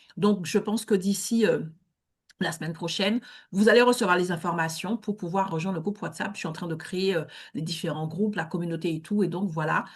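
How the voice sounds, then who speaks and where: Somewhat breathy, this voice moves at a fairly quick pace with fairly even intonation. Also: woman, medium pitch for a woman, quiet background. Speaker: networking event host. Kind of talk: online networking event hosting. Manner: hesitant with many fillers.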